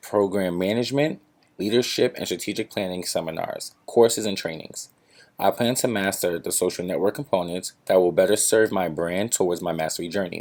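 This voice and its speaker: In an unremarkable speaking voice, a man talks at a fairly quick pace with fairly low pitch and ordinary pitch variation. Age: 20s. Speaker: graduate student. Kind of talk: class presentation. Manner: formal.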